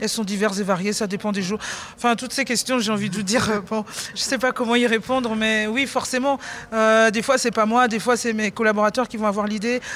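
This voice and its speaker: Fairly quick, fairly high-pitched speech from a woman, monotone and flat, over noticeable background noise. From Benin. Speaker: chef. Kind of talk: interview. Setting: backstage at an awards ceremony.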